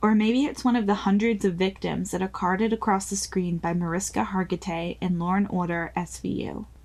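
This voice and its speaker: A somewhat breathy woman at medium pitch, moderate in pace, with ordinary pitch variation. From New Zealand. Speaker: podcast host. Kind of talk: scripted narration.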